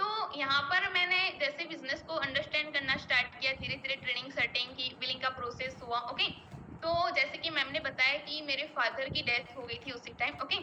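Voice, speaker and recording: A woman with a Gujarati accent uses a raised, projected voice at a high pitch and a moderate pace. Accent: Gujarati-accented Hindi. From Gujarat, India (Ahmedabad). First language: Gujarati (speaking Hindi). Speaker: network marketing business member. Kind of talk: personal success story at online meeting. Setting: online meeting.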